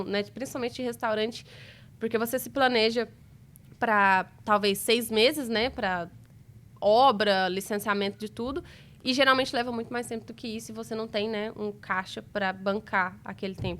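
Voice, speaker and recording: A plain, everyday voice from a woman, fairly high in pitch, with fairly even intonation at a moderate pace. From interior of Minas Gerais, Brazil. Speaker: restaurant entrepreneur. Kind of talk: interview answer.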